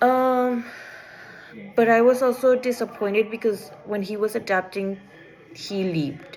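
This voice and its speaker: Speaking fairly slowly with a non-native accent, a woman uses a fairly high pitch and leaves long, frequent pauses. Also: ordinary pitch variation. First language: not English. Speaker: student. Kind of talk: class assignment presentation. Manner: halting, with false starts.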